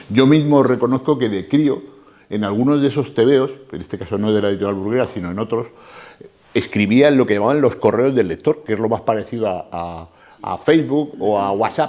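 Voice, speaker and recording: Dark, mellow tones from a man at a fairly quick pace, with ordinary pitch variation. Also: medium pitch for a man. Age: 60s. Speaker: lecturer on comics. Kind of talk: talk to a live audience.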